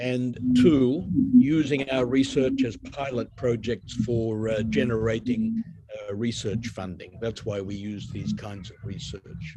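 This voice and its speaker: A man with an Australian accent speaks at a fairly slow pace, with big swings in loudness. Noticeable background noise is present. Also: medium pitch for a man, ordinary pitch variation. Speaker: university lecturer. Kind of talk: academic webinar lecture. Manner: deliberately slow.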